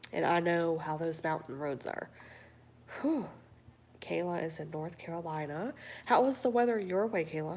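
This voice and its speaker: A woman's fairly low, relaxed voice with an American accent, lively intonation, a moderate pace and long, frequent pauses. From Cleveland, Ohio, US Midwest. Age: 40s. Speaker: livestream host. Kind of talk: casual chat reading viewer comments.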